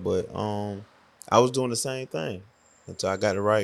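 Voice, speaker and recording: An ordinary speaking voice from a man, medium-pitched, moderately paced, with ordinary pitch variation. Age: 40s. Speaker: car rental entrepreneur. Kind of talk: casual chat.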